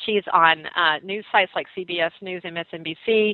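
A woman's fairly low voice in a Southern US accent, with ordinary pitch variation. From US South, North Carolina. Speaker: radio host. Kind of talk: talk radio.

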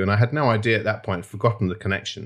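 A man speaks in a somewhat breathy voice. The recording is very clean with a silent background. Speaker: restaurateur and founder. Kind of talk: interview chat. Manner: hesitant, repeats words.

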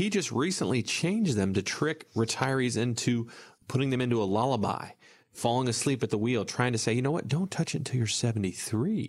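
On a very clean recording with a silent background, a man with a slight Southern US accent speaks at a medium pitch with lively intonation and very even loudness. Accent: slight Southern US drawl. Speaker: financial advisor and radio show host. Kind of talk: casual radio talk show chat. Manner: mumbles; slight twang, can slur.

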